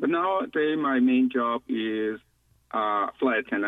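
A man at a moderate pace. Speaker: caller, unemployed flight attendant. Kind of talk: radio call-in. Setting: phone call. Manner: halting.

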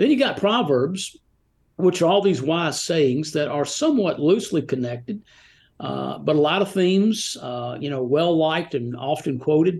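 Against a quiet background, a man with an unremarkable speaking voice talks at a moderate pace, his fairly high pitch carrying lively intonation. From US South, Rome, Georgia. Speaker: author of devotional books. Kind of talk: casual interview. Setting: remote call.

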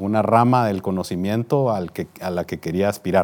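A man's fairly low-pitched voice at a fairly slow pace, with ordinary pitch variation. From Guatemala, Guatemala City. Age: 50s. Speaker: business executive. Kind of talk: interview. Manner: formal.

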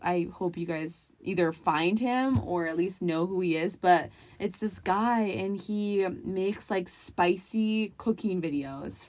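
Against a quiet background, a woman with an unremarkable speaking voice talks at a fairly slow pace with hardly any pauses. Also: medium pitch for a woman, ordinary pitch variation. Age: 20s. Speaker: podcast co-host, daughter. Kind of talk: casual chat.

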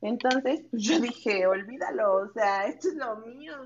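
Here a woman speaks in a Mexican accent at a fairly high pitch. Her intonation is lively and her pace moderate. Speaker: guest. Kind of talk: casual chat.

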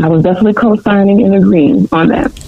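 A woman talks at a moderate pace, her pitch swinging very widely, over noticeable background noise. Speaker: education panelist. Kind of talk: panel discussion.

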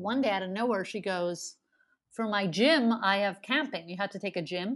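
In a quiet background, a woman with a medium pitch speaks at a moderate pace with ordinary pitch variation and a normal speaking voice. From Montreal, Canada. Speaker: comedian. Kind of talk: casual interview chat.

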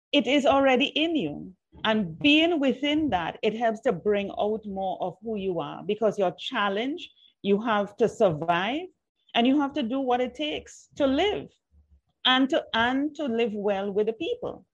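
Her pitch is fairly high, with very wide swings. The woman keeps a fairly slow pace. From Trinidad. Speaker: PR consultant and podcast host. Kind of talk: interview.

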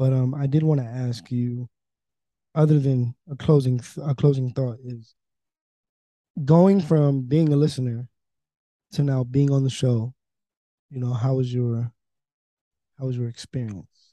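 In a dry, close sound with no echo, a soft-spoken man with a dark, mellow tone talks at medium pitch and a fairly slow pace, keeping fairly even intonation and long, frequent pauses. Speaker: podcast host. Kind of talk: casual chat.

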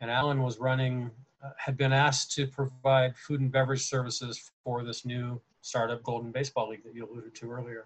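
At a fairly quick pace, a man with a medium pitch and a somewhat breathy voice speaks in a monotone, flat way while his loudness swings widely. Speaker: podcast host and teacher. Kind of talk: casual interview chat.

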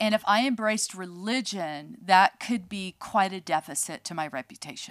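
A woman with an American accent, a plain, everyday voice, medium pitch and moderate pace, in a dry, close sound with no echo on a very clean recording with a silent background. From California, near San Francisco. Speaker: podcast co-host, ministry leader. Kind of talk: casual chat.

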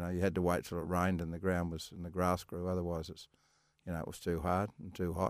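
Here a man speaks with an Australian accent and a very deep, low pitch. The recording is very clean, with a silent background. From Western Australia wheatbelt. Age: 70s. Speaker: retired professional golfer. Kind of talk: interview. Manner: halting.

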